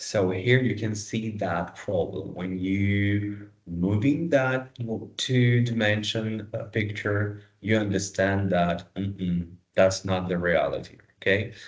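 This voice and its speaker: A man with a non-native accent, very slow and fairly low-pitched, with fairly even intonation amid audible room echo. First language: not English. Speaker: dentistry lecturer. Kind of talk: lecture. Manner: halting.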